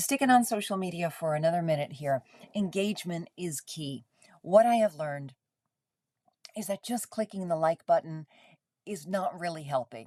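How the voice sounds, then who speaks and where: The voice has a dark, mellow tone and lively intonation. Long, frequent pauses break up the speech. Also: woman, fairly low pitch for a woman. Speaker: club volunteer presenter. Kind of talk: presentation. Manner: fast.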